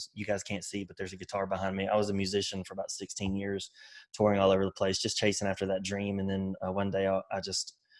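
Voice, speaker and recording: A man talks at a very fast pace in a Southern US accent. His pitch sits fairly low. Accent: Southern country. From US South, Mobile, Alabama and rural Mississippi. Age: 30s. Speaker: construction business owner and author. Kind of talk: podcast interview.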